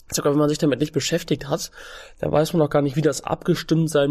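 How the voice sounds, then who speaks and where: This man has a fairly high pitch and a dark, mellow tone. His intonation stays fairly even. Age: 20s. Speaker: fitness trainer and nutrition coach. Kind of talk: casual interview.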